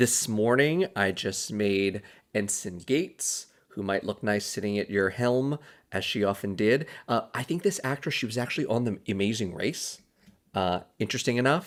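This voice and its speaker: A man mumbles at a moderate pace in a fairly low voice with lively intonation, recorded very cleanly against a silent background. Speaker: podcast host. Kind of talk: casual solo podcast commentary. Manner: mumbling.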